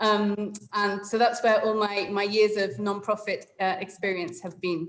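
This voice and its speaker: A woman with an English accent speaks at a fairly slow pace with fairly even intonation. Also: medium pitch for a woman. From England. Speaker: webinar facilitator. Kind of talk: online meeting facilitation. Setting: video call.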